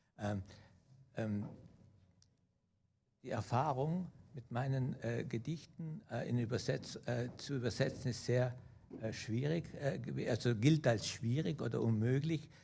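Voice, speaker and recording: A man's dark, mellow, somewhat breathy voice at a fairly slow pace, with long, frequent pauses and audible room echo. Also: medium pitch for a man, ordinary pitch variation. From South Tyrol or Germany. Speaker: poet. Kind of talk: artist talk at a festival. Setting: auditorium with audience. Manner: halting, many hesitations.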